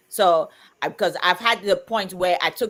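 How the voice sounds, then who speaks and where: Recorded very cleanly against a silent background, a woman talks at medium pitch. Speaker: livestream co-host. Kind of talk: casual chat. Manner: loud.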